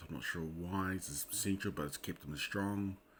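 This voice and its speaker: Speaking with a New Zealand accent, a man has a very deep, low pitch and fairly even intonation. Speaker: Bible code researcher. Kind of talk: casual screen-share commentary. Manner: hesitant, casual.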